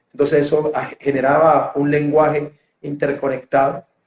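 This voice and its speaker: This man speaks with a Colombian Caribbean accent. His pitch is fairly high and his pace moderate. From Colombia, Barranquilla (Caribbean coast). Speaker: theatre director and interviewer. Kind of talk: interview. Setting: video call. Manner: halting, many repetitions and fillers.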